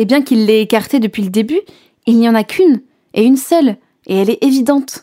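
Speaking at a moderate pace, a woman with a high voice and a dark, mellow tone shows ordinary pitch variation. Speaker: radio host and storyteller. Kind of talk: scripted narration.

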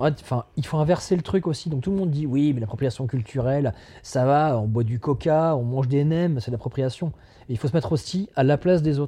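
Fairly quick and somewhat breathy, a man speaks with a dark, mellow tone at a fairly high pitch and ordinary pitch variation. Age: 30s. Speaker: tattoo artist. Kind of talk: casual conversation.

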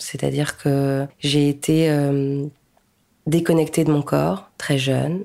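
A woman's very deep, low-pitched voice, dark and mellow in tone, at a very slow pace. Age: 30s. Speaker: podcaster. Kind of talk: interview.

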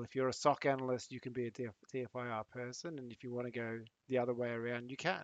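A man with an Australian accent talks at a fairly quick pace with hardly any pauses. His medium-pitched delivery is monotone and flat, with big swings in loudness. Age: 40s. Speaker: cybersecurity professional and former air force member. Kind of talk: casual interview chat. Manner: halting, with many repeated words.

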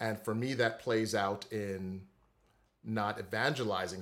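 A man with a normal speaking voice and an American accent, at a fairly slow pace with fairly even intonation. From US Virgin Islands, Saint Croix. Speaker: music theory teacher. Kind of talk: interview.

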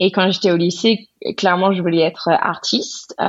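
Speaking in an English accent, a woman uses a medium pitch. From US South. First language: English (speaking French). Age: 30s. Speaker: painter and illustrator. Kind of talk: interview.

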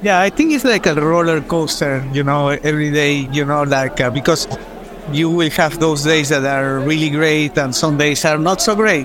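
Fairly high pitch from a man at a moderate pace, with very even loudness, fairly even intonation, audible room echo and noticeable background noise. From Peru. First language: Spanish. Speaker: advertising agency founder. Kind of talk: casual chat.

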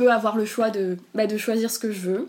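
The woman's pace is fairly slow. Her intonation stays monotone and flat. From southern France. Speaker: interviewee sharing abortion experience. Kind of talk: personal testimony. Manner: halting, with many repetitions.

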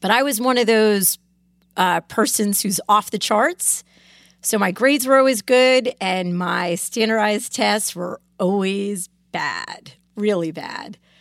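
With an American accent and an unremarkable speaking voice, a woman talks at a fairly slow pace and a fairly high pitch, with ordinary pitch variation, in a dry, close sound with no echo on a very clean recording with a silent background. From Connecticut, US. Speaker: lawyer, law firm founding partner. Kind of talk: casual interview. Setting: studio.

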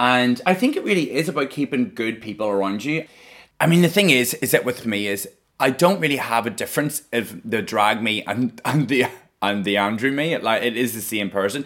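A man with a Northern Irish accent and lively intonation. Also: medium pitch for a man. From Northern Ireland, rural outskirts of Belfast. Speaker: drag performer. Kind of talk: casual chat.

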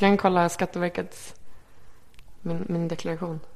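Her pitch is fairly low. The woman speaks with monotone, flat intonation. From Sweden (Örebro, then Malmö). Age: 20s. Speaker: magazine editor. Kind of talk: casual interview.

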